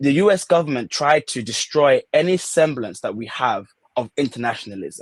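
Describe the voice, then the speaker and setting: A man with a British accent, fairly high in pitch, with lively intonation at a moderate pace and a dry, close sound with no echo. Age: 30s. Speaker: student activist. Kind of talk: podcast interview. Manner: animated.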